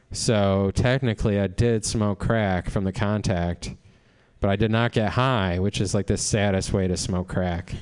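Over a quiet background, a man uses a normal speaking voice, fairly low in pitch, with very even loudness, fairly even intonation and a fairly slow pace. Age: 40s. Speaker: stand-up comedian. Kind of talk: stand-up.

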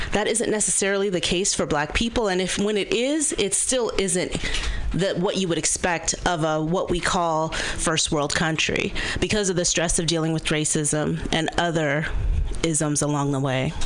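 With an American accent, a woman talks at a moderate pace in a fairly low pitch with ordinary pitch variation and very even loudness, over noticeable background noise and audible room echo. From Berkeley, California. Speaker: marketing consultant. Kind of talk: radio interview.

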